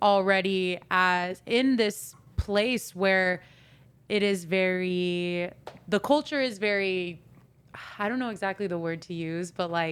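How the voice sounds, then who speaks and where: A woman's plain, everyday voice at a medium pitch, with ordinary pitch variation and a fairly slow pace, on a very clean recording with a silent background. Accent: American. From US. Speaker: podcast co-host. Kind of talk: casual interview chat.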